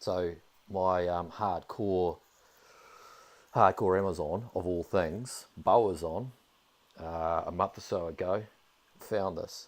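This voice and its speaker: On a very clean recording with a silent background, a man with a New Zealand accent speaks at a very slow pace and a very deep, low pitch, with fairly even intonation and long, frequent pauses. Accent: New Zealand accent, similar to Australian. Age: 30s. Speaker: video game streamer. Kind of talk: casual live-stream commentary.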